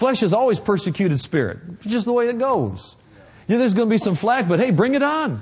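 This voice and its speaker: Animated in tone, a man talks at a very fast pace with a high pitch and lively intonation. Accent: American. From Oklahoma. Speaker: visiting preacher. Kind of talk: sermon; prayer. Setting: church with congregation.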